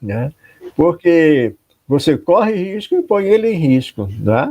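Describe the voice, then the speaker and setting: Speaking at a very slow pace, a man uses a high pitch with very wide pitch swings and a dark, mellow tone. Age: 60s. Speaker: pastor. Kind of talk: online talk on a live stream. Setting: live video stream. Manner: conversational, many fillers.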